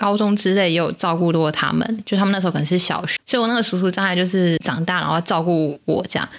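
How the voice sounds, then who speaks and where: The speech runs at a very fast pace with hardly any pauses and very even loudness. Pitch variation is ordinary, over noticeable background noise. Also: woman. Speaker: podcast co-host. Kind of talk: casual chat. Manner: talkative, animated.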